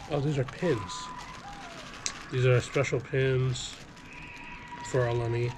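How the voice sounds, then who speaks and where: Noticeable background noise sits behind a man at a medium pitch. His delivery has ordinary pitch variation and long, frequent pauses. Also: fairly slow pace, very even loudness. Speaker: family vlogger. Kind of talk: casual haul vlog.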